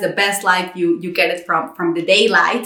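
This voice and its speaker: Speaking with a Spanish accent and ordinary pitch variation, a woman is heard with audible room echo and noticeable background noise. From Mexico. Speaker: content creator. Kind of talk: personal vlog monologue. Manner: frequent fillers and repetitions.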